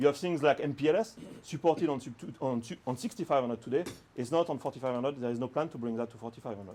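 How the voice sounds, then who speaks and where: A man's very fast speech in a French accent, with ordinary pitch variation, big swings in loudness and music in the background. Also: medium pitch for a man. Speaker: product manager presenting. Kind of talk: technical presentation with Q&A. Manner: hesitant, many fillers.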